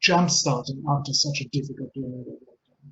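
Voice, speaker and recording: A man's fairly quick, somewhat breathy voice, fairly high in pitch for a man. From Israel. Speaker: change consultant and author. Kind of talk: webinar presentation. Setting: online webinar. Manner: many filler words.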